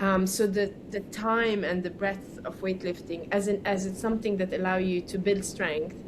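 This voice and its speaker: A woman speaks at a moderate pace with hardly any pauses, her medium pitch monotone and flat, with audible room echo around her. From Lebanon. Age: 40s. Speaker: weightlifter. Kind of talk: casual chat.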